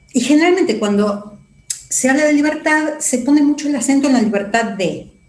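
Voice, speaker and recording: Speaking at a moderate pace with a high pitch, a woman is heard with audible room echo. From Argentina. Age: 60s. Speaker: psychologist. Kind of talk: interview.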